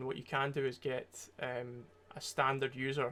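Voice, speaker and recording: A man speaks with a Scottish accent. His pitch is fairly high, and his intonation is monotone and flat. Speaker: security researcher streamer. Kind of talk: tutorial livestream. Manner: casual, hesitant with many fillers.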